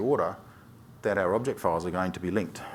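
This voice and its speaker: The man speaks with an Australian accent and ordinary pitch variation. Audible echo fills the room. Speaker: software developer, conference speaker. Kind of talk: technical conference talk. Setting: stage with audience. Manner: fast, skips syllables; hesitant fillers.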